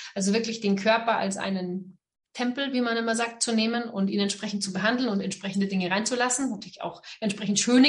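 A woman with a normal speaking voice talks at a fairly quick pace, her fairly high pitch showing ordinary pitch variation. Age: 40s. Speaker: entrepreneur and business coach, former lawyer. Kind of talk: interview.

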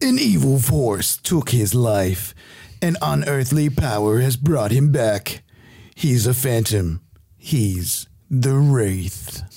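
A man performs a put-on character voice at medium pitch, very slow and with lively intonation. The loudness stays very even, and the recording is very clean with a silent background. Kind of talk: announcer-style. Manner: dramatic, ominous.

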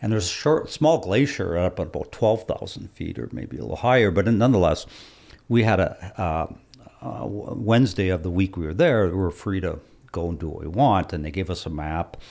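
A man with a very deep, low pitch and vocal fry speaks at a fairly quick pace with an American accent. His intonation is lively. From Michigan Upper Peninsula (Keweenaw area). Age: 60s. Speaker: retired engineering professor. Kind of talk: interview.

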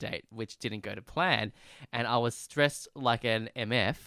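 This is a man with a medium-pitched voice and ordinary pitch variation. He has a plain, everyday voice. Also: dry, close sound with no echo, very clean recording, silent background. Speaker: podcast host. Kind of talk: casual chat, interview.

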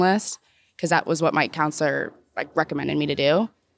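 In a very clean recording with a silent background, a woman with a Californian accent talks at a very fast pace with fairly even intonation. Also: dry, close sound with no echo. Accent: Californian American. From Southern California. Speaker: college student. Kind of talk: interview.

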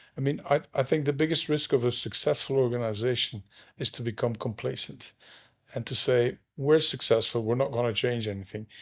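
On a very clean recording with a silent background, a man talks at a fairly quick pace. He has a Flemish accent. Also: medium pitch for a man, ordinary pitch variation. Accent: Belgian Flemish-accented English. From Flanders, Belgium. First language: Dutch. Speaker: law firm senior partner. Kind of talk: interview conversation. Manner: hesitant, with fillers.

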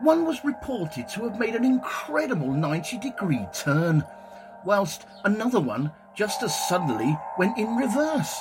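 A man speaks at a fairly slow pace with a high pitch and very wide pitch swings. Music plays in the background. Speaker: podcast host, psychic medium and ufologist. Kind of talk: ufo documentary narration. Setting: community radio show. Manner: measured, storytelling narration; humorous, lightly comic.

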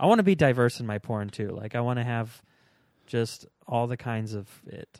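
A man with an American accent has a normal speaking voice at a medium pitch, with ordinary pitch variation. He speaks at a moderate pace, with big swings in loudness. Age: 30s. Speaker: stand-up comedian and video maker. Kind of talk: casual chat.

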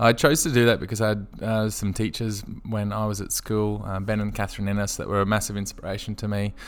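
The speaker is a man with a fairly low pitch. He talks in an Australian accent. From Australia, Brisbane. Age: 30s. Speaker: motorbike racer and teacher. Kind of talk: casual interview. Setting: shared workspace.

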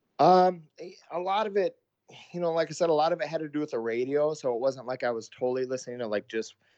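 The speaker talks at a fairly quick pace with an American accent, in a dry, close sound with no echo over a quiet background. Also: man. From US Midwest, Sioux Falls, South Dakota. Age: 30s. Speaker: hardcore band vocalist. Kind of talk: casual interview chat.

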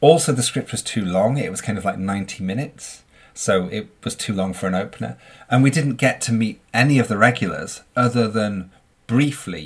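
Somewhat breathy, a man speaks at a fairly quick pace. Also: medium pitch for a man, lively intonation. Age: old. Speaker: podcast co-host and author. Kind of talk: casual chat.

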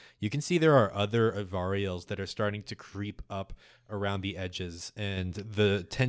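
Reading aloud in a natural voice with ordinary pitch variation

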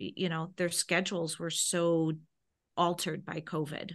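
A woman talks at a fairly slow pace, and the background is quiet. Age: 50s. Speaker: speech therapist. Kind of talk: interview.

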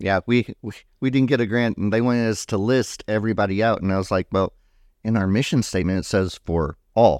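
The sound is dry and close with no echo, carrying an ordinary speaking voice with ordinary pitch variation. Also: man, fairly low pitch for a man, fairly quick pace, quiet background. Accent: American. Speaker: YMCA director. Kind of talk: casual chat.

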